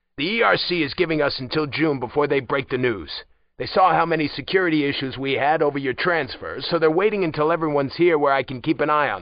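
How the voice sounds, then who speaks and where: Putting on a gruff character voice, a man races along at a very fast pace with hardly any pauses, his fairly high pitch showing ordinary variation. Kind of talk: audiobook dialogue. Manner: blunt, gruff, commanding.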